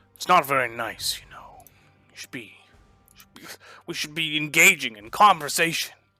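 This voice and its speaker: A man uses a put-on character voice at a fairly high pitch. He goes at a moderate pace with long, frequent pauses. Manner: creepily polite, chiding.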